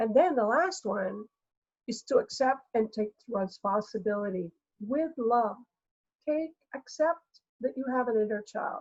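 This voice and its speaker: A woman speaks in a normal speaking voice, fairly high in pitch, at a fairly slow pace with lively intonation and a dry, close sound with no echo. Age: 60s. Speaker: energy healer. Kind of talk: interview.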